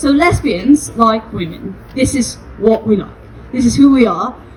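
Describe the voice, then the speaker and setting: Over noticeable background noise, a woman talks at a fairly slow pace. Her pitch is fairly high and her intonation lively. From Spain. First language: Spanish. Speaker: activist. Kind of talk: protest speech.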